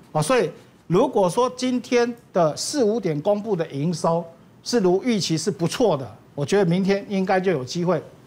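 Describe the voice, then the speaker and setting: A man speaks at a moderate pace with a high pitch. His intonation is lively. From Taiwan. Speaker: stock analyst. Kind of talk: market analysis on a talk show. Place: studio. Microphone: lapel.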